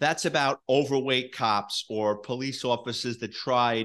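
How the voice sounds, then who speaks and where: A man speaks with a New York accent at a medium pitch. The background is quiet. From New York City. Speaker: retired police detective and author. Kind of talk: storytelling interview.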